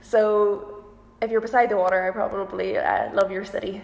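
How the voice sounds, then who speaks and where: Background noise is noticeable. A woman speaks at a fairly slow pace. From Northern Ireland, County Antrim. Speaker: violinist and singer-group musician. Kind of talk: casual Q&A livestream.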